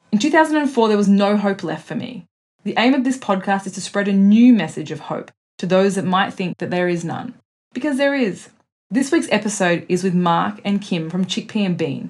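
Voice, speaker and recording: A woman's somewhat breathy voice with lively intonation and a moderate pace, on a very clean recording with a silent background. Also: medium pitch for a woman. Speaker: podcast host. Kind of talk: interview.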